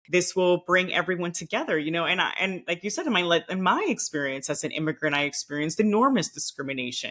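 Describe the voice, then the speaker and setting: A woman's fairly low voice with a Miami accent, very fast and with hardly any pauses, her pitch varying in an ordinary way. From Nicaragua, raised partly in Costa Rica and Venezuela. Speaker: former diplomat. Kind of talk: podcast interview.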